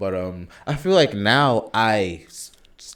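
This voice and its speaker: A man's bright, sharp tone comes through on a very clean recording, its background silent. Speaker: podcast co-host. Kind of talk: casual chat. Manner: fast; mumbling.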